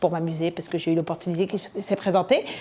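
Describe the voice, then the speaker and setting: A woman's animated, very fast speech. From France. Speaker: entrepreneur, conference speaker. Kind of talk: conference talk.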